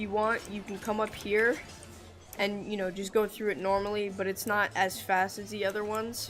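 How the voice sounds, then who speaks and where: A woman at a medium pitch and a fairly quick pace, with music in the background. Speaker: gaming youtuber. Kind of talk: tutorial. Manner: fast; halting.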